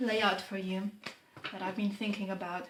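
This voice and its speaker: A woman's somewhat breathy voice at medium pitch. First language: not English. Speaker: tarot reader. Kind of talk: tarot reading monologue. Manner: unhurried, pausing to find words.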